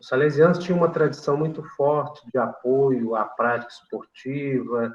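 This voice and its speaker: At a moderate pace, this man's somewhat breathy voice shows ordinary pitch variation. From Brazil, São João del Rei, Minas Gerais. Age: 60s. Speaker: retired physical education professor. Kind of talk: interview. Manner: halting, many fillers.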